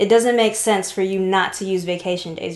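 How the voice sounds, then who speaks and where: This is an unremarkable speaking voice with an American accent. The pitch variation is ordinary. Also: woman. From Seattle, Washington. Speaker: travel podcast co-host, video producer. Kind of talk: casual chat.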